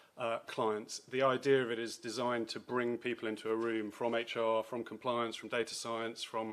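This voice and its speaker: In a British accent, a man speaks at a medium pitch with monotone, flat intonation. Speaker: lawyer specialising in data and AI. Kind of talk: conference talk. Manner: fast.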